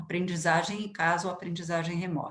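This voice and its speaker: The voice is somewhat breathy, with audible room echo around it. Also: woman. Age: 60s. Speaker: education expert. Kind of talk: interview.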